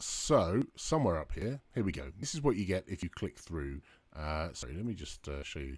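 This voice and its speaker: Over a silent background in a very clean recording, a man speaks at a moderate pace in a very deep, low pitch with vocal fry and very wide pitch swings. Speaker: developer advocate hosting a live stream. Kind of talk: live tutorial stream. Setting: live stream with chat.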